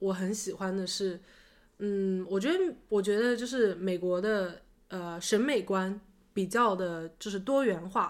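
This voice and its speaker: Against a silent background on a very clean recording, a woman talks in a plain, everyday voice. Her pitch is medium with ordinary variation, and her pace is fairly slow. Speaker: podcast co-host. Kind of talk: casual chat.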